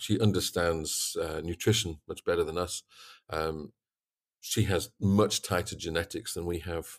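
In a Yorkshire accent, a man speaks at a moderate pace on a very clean recording with a silent background, the sound dry and close with no echo. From East Yorkshire, England. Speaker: swine veterinarian and consultant. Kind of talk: interview. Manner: talkative.

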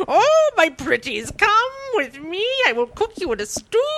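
A female-sounding put-on character voice swings very widely in pitch, sitting extremely high and moving at a moderate pace. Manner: menacing, cackling.

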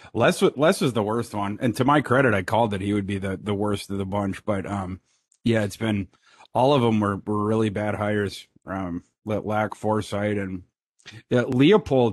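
A man speaks in an ordinary speaking voice at a fairly low pitch with ordinary pitch variation. His pace is moderate, and the background is quiet. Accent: American. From Minnesota. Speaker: sports analyst. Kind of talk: casual chat.

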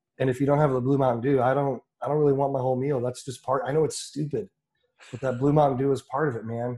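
A man speaks very fast in a dark, mellow, somewhat breathy voice at medium pitch. His intonation stays monotone and flat. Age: 30s. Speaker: brewery sales and marketing. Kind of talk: casual chat.

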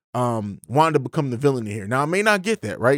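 A man's voice swings very widely in pitch on a very clean recording with a silent background and a dry, close sound with no echo. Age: 30s. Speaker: film review podcast host. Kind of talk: solo film review monologue. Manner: casual, conversational with fillers.

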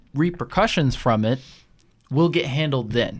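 Here a man with an American accent has a plain, everyday voice at medium pitch. His intonation is lively, and the recording is very clean with a silent background. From US Midwest, Janesville, Wisconsin. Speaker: podcast guest. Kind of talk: casual chat.

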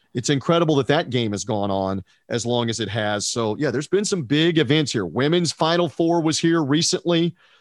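With an ordinary speaking voice, a man talks at a fairly quick pace and fairly high pitch, his intonation lively. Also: hardly any pauses. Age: 50s. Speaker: sports radio broadcaster. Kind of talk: casual sports talk interview.

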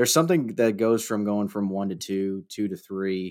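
Recorded very cleanly against a silent background, a man speaks in a normal speaking voice. His pitch is fairly low, his intonation fairly even, and his pace moderate. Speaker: trader. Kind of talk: casual chat.

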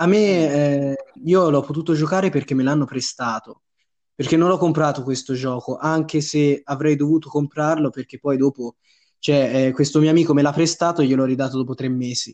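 Against a quiet background, a man with a fairly high pitch and a dark, mellow tone talks at a moderate pace with fairly even intonation. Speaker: podcast co-host. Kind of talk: casual chat.

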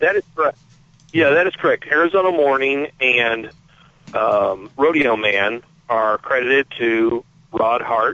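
A man talks at a fairly slow pace with a fairly high pitch and ordinary pitch variation. He has an ordinary speaking voice, and his loudness stays very even. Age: 50s. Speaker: magazine editor. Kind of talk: interview.

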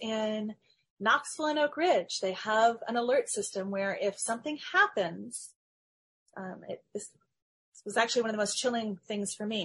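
At a fairly high pitch, a woman speaks with lively intonation at a moderate pace. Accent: American. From Middle Tennessee. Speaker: historian and author. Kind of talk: interview.

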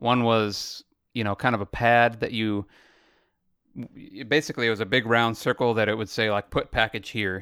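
Recorded very cleanly with a silent background and a dry, close sound with no echo, a man with a normal speaking voice talks at a medium pitch and moderate pace. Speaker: podcast co-host. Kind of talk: casual chat. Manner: laid-back, laughs often.

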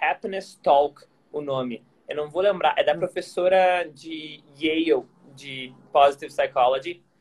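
In a Gaúcho Brazilian accent, a man speaks at a fairly slow pace. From southern Brazil, Porto Alegre. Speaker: workplace happiness expert, former tennis player. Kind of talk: casual interview chat. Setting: Instagram live, video call.

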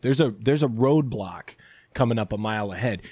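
The recording is very clean, with a silent background. A man talks in a normal speaking voice at a medium pitch, his pitch varying in an ordinary way. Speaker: writer and actor. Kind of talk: casual interview chat. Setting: studio. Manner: joking, laughs often.

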